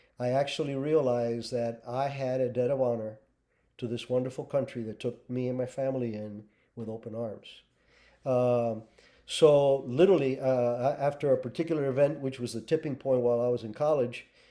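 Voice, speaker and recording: Fairly even in intonation, a man with a Spanish accent speaks at a fairly quick pace in a dark, mellow tone. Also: medium pitch for a man. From Cuba, then raised in US (Colorado). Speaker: former intelligence officer and author. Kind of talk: interview. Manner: halting, many fillers.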